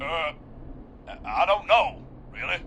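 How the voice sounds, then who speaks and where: The speaker drawls in a put-on character voice over clear background noise. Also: man. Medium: video game. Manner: casual, drawling, says "man" a lot.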